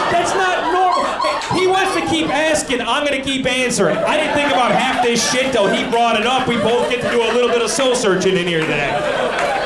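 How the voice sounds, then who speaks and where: Fairly quick speech with very wide pitch swings over loud background noise. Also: man, extremely high pitch for a man. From US. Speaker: stand-up comedian. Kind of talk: stand-up comedy. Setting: stage with audience. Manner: conversational, animated. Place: stage. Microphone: handheld.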